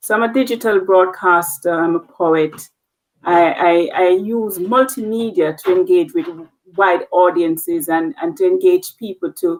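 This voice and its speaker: A woman with a Jamaican accent speaks at medium pitch and a fairly slow pace, her intonation lively. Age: 40s. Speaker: nurse leader. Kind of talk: interview.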